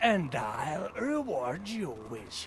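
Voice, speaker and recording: A man's put-on character voice, high-pitched with very wide pitch swings, over clear background noise. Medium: video game.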